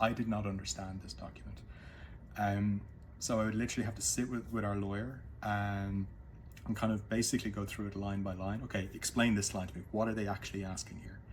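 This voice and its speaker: Talking at a very fast pace in an Irish accent, a man with a fairly low, somewhat breathy voice uses ordinary pitch variation amid audible room echo. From Ireland. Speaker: former business executive. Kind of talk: casual talk to camera. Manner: halting, many fillers.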